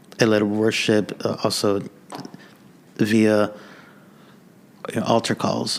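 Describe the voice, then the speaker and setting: Noticeable background noise runs under a man speaking at a fairly slow pace in a fairly low pitch with monotone, flat intonation. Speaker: worship leader. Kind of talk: casual chat. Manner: stutter; halting.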